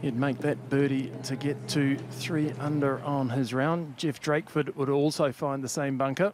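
Amid noticeable background noise, a man talks at a moderate pace with hardly any pauses, his fairly high pitch keeping a fairly even intonation. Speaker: golf commentator. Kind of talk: live golf commentary over highlights. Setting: voiceover on highlight reel.

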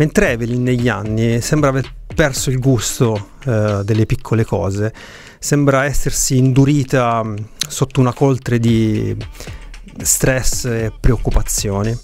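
A man talks at a fairly slow pace with ordinary pitch variation. The sound is dry with no echo, and faint music plays in the background. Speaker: podcast host, film reviewer. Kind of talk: commentary. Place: home room. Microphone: studio mic.

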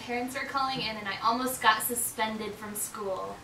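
In a room with audible echo and light background noise, a man uses a raised, projected voice at a fairly quick pace with fairly even intonation. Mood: playful, laughing. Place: home room. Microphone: camera far.

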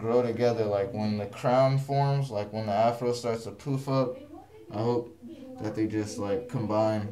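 A man speaks at a fairly slow pace with fairly even intonation over light background noise. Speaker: vlogger. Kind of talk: casual talk to camera. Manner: monotonous. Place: home room. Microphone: phone near.

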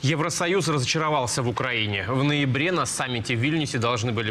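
Light background noise sits behind a man talking at a fairly quick pace. His pitch varies in an ordinary way. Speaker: TV news presenter. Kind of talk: news reading. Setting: studio. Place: studio. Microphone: lapel.

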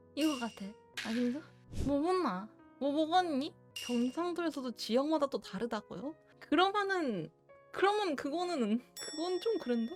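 Over music in the background, a woman with a high pitch speaks at a fairly slow pace, her pitch swinging very widely between long, frequent pauses. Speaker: virtual streamer. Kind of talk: casual live-stream talk.

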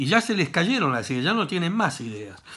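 A bright, sharp voice with a Rioplatense accent and very wide pitch swings against a quiet background. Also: man. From Argentina. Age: 60s. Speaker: gaming YouTuber; gaming video creator. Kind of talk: comedic rant to camera; casual vlog chat, mocking commentary. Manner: animated. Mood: joking, teasing. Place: home room. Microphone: webcam.

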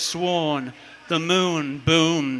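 With fairly even intonation, a man speaks in a high pitch. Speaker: open mic poet. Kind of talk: poetry reading. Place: cafe. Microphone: handheld.

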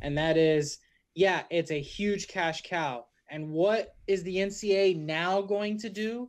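The speech moves at a very slow pace against a quiet background. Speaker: co-host. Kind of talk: sports podcast rant. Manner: animated, hyping up. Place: home room. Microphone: studio mic.

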